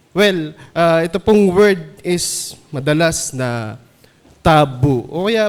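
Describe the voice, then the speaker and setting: The man's intonation moves in a lively way. His pitch sits fairly high. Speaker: church elder delivering sermon. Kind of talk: sermon.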